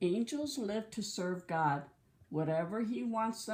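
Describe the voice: A passage in plain reading aloud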